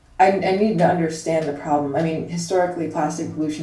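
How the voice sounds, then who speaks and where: A woman's very deep, low voice at a fairly quick pace with fairly even intonation, audible room echo and noticeable background noise. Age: 20s. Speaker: science writer and activist. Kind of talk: interview.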